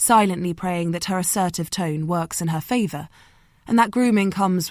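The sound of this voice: The clip features an unforced reading voice. Its pitch variation is ordinary.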